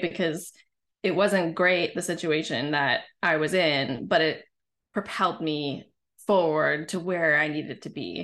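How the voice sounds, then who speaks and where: Against a quiet background, a woman with a fairly low pitch speaks in a plain, everyday voice. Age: 40s. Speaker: women's leadership coach. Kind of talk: casual interview chat.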